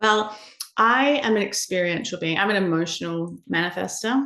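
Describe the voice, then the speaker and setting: A woman with a New Zealand accent speaks at a fairly slow pace. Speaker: human design educator, shamanic practitioner. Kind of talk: podcast interview answer.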